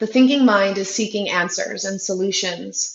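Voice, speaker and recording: A woman with an American accent talks at a medium pitch, sounding somewhat breathy. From California. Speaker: yoga instructor. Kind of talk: yoga class introduction.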